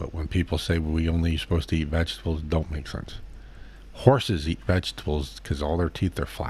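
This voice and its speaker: Somewhat breathy, a man with an American accent speaks at a moderate pace and a very deep, low pitch with ordinary pitch variation. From Boston, US. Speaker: streamer. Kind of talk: live stream Q&A chat. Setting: live stream reading chat. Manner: casual, halting.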